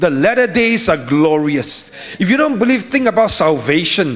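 With an animated tone, a man talks at a high pitch with very wide pitch swings. His pace is moderate, over noticeable background noise. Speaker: pastor. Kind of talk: sermon. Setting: live church service. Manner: animated, call-and-response preaching with rhetorical questions.

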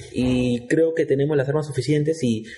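Fairly quick and fairly high for a man, this male voice is somewhat breathy with a dark, mellow tone and fairly even intonation. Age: 30s. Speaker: football podcast co-host. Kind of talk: casual chat.

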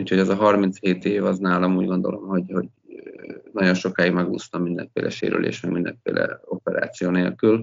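Speaking at a moderate pace, a man has a very deep, low pitch, vocal fry, and fairly even intonation. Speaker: sports executive and former ice hockey player. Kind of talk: casual interview. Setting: early morning, from home.

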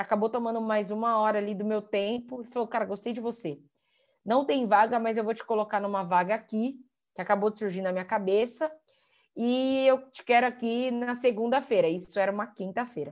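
Over a quiet background, a woman with an ordinary speaking voice talks at a fairly quick pace and fairly high pitch with ordinary pitch variation. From São Paulo, Brazil (Capão Redondo periphery). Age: 20s. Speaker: guest speaker. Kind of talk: interview.

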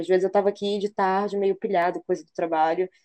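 Her voice sits at a medium pitch with a dark, mellow tone as this woman speaks at a very fast pace. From Belém, Brazil. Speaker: podcast co-host. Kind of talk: casual chat.

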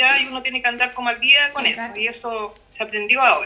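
A woman's raised, projected voice at a high pitch, with noticeable background noise. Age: 50s. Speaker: schoolteacher. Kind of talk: casual chat.

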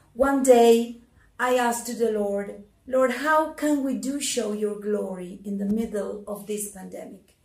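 A somewhat breathy woman at a fairly slow pace, with audible room echo. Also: fairly high pitch for a woman, ordinary pitch variation, big swings in loudness. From Argentina. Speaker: church leader giving testimony. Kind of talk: testimony.

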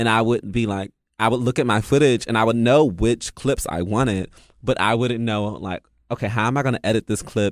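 In an American accent, a normal speaking voice moves at a fairly quick pace with fairly even intonation and a dry, close sound with no echo. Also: man, medium pitch for a man, very clean recording, silent background. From US, DC area (DMV). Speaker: dance artist and curator. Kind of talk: casual chat.

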